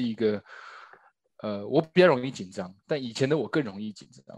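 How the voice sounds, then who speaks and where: The speaker is a man with a medium pitch. He delivers his words at a very fast pace. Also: quiet background. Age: 30s. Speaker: stage actor and new father. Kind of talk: casual chat. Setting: at home during lockdown.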